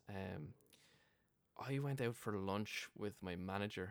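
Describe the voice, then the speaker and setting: The speaker has an Irish accent and ordinary pitch variation. The recording is very clean, with a silent background. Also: man. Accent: Irish, Wexford. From Ireland (Wexford). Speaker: guest living in US. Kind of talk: casual chat. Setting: drinking beer in a pub.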